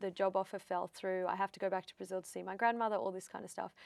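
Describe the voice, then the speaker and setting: Recorded very cleanly against a silent background, a woman talks at a medium pitch with an Australian accent. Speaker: psychic medium. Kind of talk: interview.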